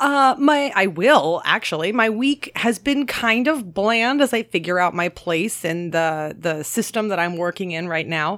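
A woman talks at a fairly slow pace with hardly any pauses. Her pitch swings very widely. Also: medium pitch for a woman. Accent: American. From Maryland. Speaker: podcast host. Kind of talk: casual chat.

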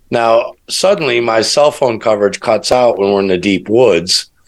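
The speaker has a normal speaking voice with an American accent and lively intonation. The pace is moderate. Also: man. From US Midwest, Chicago. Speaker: podcast guest, alternative researcher. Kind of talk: casual chat.

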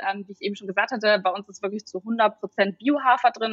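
A woman with an ordinary speaking voice talks at a fairly quick pace and medium pitch. Her pitch varies in an ordinary way, and the sound is dry and close with no echo. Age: 30s. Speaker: startup founder. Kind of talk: interview.

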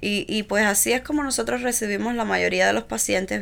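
The delivery moves along at a fairly quick clip. The background is silent and the recording very clean. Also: woman. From Cuba, Villa Clara. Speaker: founder of pediatric therapy center. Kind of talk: interview.

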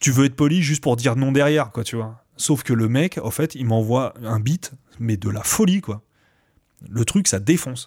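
A man with an unremarkable speaking voice talks at a moderate pace and medium pitch with lively intonation, recorded very cleanly against a silent background. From France, Seine-et-Marne (Coulommiers). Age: 40s. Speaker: rapper and beatmaker. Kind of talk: casual interview.

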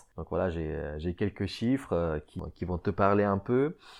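A fairly slow male voice over a quiet background. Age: 20s. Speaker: podcast host, amateur fitness enthusiast. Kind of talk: casual solo podcast talk. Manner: halting, many repetitions and fillers.

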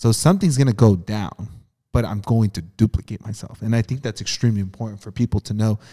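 A man's fairly low, somewhat breathy voice with a dark, mellow tone, ordinary pitch variation, big swings in loudness and a very fast pace, in a dry, close sound with no echo and a very clean recording with a silent background. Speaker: podcast host. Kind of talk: casual podcast interview.

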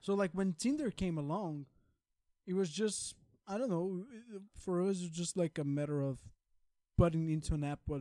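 A man's high-pitched voice with a Portuguese accent, dark and mellow in tone, at a moderate pace broken by long, frequent pauses. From Brazil. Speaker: podcast co-host. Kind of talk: casual chat.

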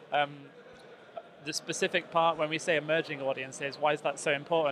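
A man's fairly high-pitched voice with monotone, flat intonation. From northwest England. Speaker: Microsoft audience marketing manager. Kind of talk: casual interview chat.

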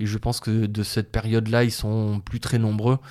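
A man with a fairly low pitch and a dark, mellow tone speaks at a moderate pace in a monotone, flat intonation, in a very clean recording with a silent background. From southern France, Montpellier area. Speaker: wild plant gatherer and herbal business owner. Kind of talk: interview. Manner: halting.

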